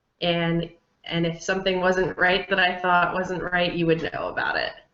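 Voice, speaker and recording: Her pitch sits fairly low, and this woman talks with an American accent. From New Jersey, US. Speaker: adoptee, social worker. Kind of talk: interview monologue, personal reflection. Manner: halting with fillers and repetitions.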